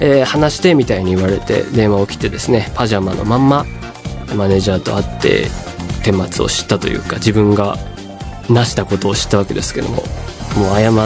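A man's fairly low voice with ordinary pitch variation, clear music playing in the background. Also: fairly quick pace. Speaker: radio host. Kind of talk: radio talk, personal anecdote. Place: studio. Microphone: studio mic.

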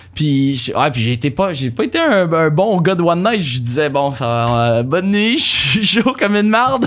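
A man at a fairly slow pace with very wide pitch swings. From Quebec. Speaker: university student; podcast guest. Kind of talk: casual chat. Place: studio. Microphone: studio mic.

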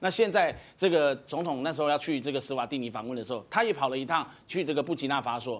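Talking at a very fast pace, a man with a Taiwanese accent has a fairly high pitch and lively intonation. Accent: Taiwanese Mandarin. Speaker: political commentator. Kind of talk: TV political talk show panel. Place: studio.

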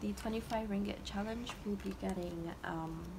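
A woman speaks at a medium pitch and a moderate pace with ordinary pitch variation. Background noise is clearly audible.

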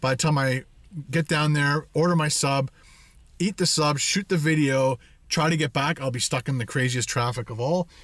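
A man speaks at a moderate pace with ordinary pitch variation. The sound is dry with no echo, over a quiet background. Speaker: vlogger. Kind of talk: casual vlog chat. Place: car. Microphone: phone near.

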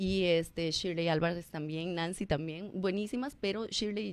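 A woman with a fairly low pitch speaks at a moderate pace with ordinary pitch variation, in a dry sound with no echo. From Costa Rica. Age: 40s. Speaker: former teacher and public personality; former teacher. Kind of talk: radio interview. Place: studio. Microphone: studio mic.

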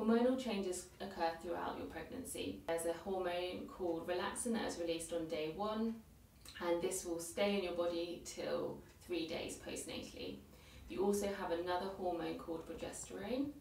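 Fairly low in pitch, a woman speaks at a moderate pace with ordinary pitch variation, her voice carrying audible room echo. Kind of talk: educational presentation. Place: office. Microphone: camera far.

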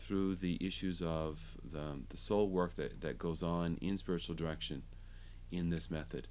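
A man speaks very slowly. His pitch is very deep and low. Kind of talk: interview answer. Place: home room.

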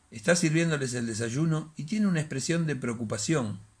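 Somewhat breathy, fairly high-pitched speech from a man. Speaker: bookseller and storyteller. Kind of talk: reading a short story aloud as dramatic narration. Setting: home recording, solo. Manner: hesitant, halting, repeating words in the intro; dramatic, suspenseful storytelling pace. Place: home room. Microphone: phone near.

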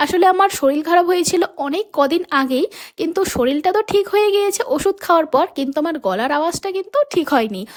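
Lively intonation in a dry, close sound with no echo, amid noticeable background noise. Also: woman, extremely high pitch for a woman. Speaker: vlogger. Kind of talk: casual vlog voice-over.

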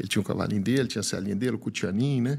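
A man at a medium pitch with ordinary pitch variation, over a quiet background. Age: 50s. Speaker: animal scientist and agribusiness speaker; speaker. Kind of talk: personal testimony in interview. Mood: warm, reflective, emotional story. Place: studio. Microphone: studio mic.

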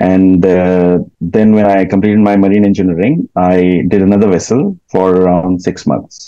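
A man with a very deep, low voice speaks at a moderate pace in a dark, mellow tone with fairly even intonation, the sound dry with no echo and the background quiet. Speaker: guest. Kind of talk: interview answer. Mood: relaxed, smiling. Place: home room. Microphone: video call.

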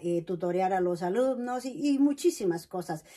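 Against a quiet background, a woman speaks fairly slowly in a dark, mellow tone with ordinary pitch variation. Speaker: vlogger; personal storyteller. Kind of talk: personal testimony. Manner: hesitant, many fillers. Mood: warm, smiling, reflective. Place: home room. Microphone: camera far.

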